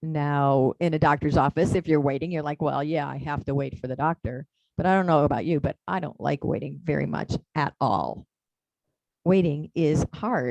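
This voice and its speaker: Vocal fry runs through this voice, which moves at a moderate pace. The sound is dry and close, with no echo. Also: woman, very deep, low pitch for a woman, ordinary pitch variation. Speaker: minister. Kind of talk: sermon. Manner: soft-spoken; emotional, voice drops. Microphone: far from the mic, hard to hear.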